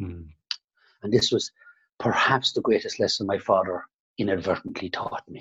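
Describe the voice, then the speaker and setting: With a dry, close sound and no echo, a man talks at a moderate pace, leaving long, frequent pauses and swinging widely in loudness. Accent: Irish. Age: 50s. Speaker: salon owner and business coach. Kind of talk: interview. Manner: halting.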